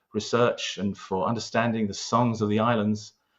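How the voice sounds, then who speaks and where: Speaking with a London accent, a man at medium pitch keeps a monotone, flat intonation at a moderate pace. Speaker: local historian, award winner. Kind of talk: interview.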